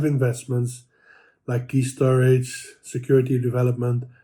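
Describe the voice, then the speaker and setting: A man's dark, mellow tone, somewhat breathy, at a fairly quick pace. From Netherlands. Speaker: transit payments executive. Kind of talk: prepared commentary. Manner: halting.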